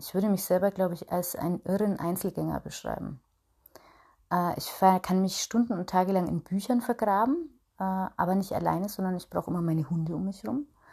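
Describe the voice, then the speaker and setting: A woman speaks in a dark, mellow tone that is somewhat breathy. The recording is very clean, with a silent background. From Upper Franconia, Bayreuth. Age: 30s. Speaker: podcast host and small business owner. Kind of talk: solo personal monologue. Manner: chatty with many filler sounds.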